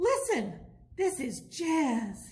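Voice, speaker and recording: A woman's put-on character voice, high in pitch. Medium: read story.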